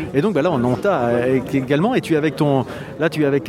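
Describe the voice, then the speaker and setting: A man's very fast, fairly high voice with lively intonation, crowd noise in the background. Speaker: podcast host. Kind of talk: roving interviews at a festival. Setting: outdoors at a harbour festival. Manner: hesitant, many fillers.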